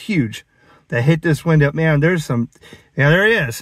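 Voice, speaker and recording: A man's voice, dry with no echo, against a quiet background. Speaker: ham radio hobbyist. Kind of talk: casual vlog chat. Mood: sarcastic, animated. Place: car. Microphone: phone near.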